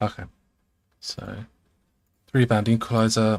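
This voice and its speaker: Soft-spoken, a man talks at a moderate pace. His intonation is fairly even. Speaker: electronics hobbyist streamer. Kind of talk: casual live setup talk.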